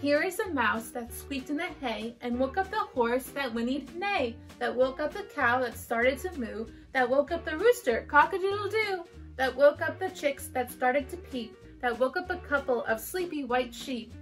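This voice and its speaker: A woman's high-pitched voice at a moderate pace, with faint background music. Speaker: school teacher. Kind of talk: read-aloud storytelling. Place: home room. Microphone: camera far.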